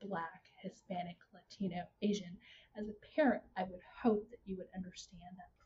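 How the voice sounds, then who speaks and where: Somewhat breathy, a woman talks at a fairly slow pace with a slight Texas accent. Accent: slight Texas twang. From Houston, Texas. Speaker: marketing consultant and instructor. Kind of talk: casual interview conversation.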